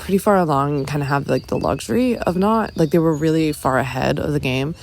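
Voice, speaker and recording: In a very deep, low pitch with vocal fry, a woman speaks with ordinary pitch variation. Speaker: podcast host. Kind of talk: solo podcast monologue. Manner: casual, hesitant with fillers.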